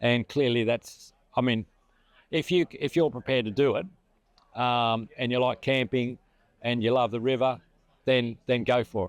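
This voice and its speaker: Pausing long and often, a man with an Australian accent speaks at medium pitch with fairly even intonation, and the sound is dry and close with no echo. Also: moderate pace. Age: 70s. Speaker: retired river inspector, rally participant. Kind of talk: interview.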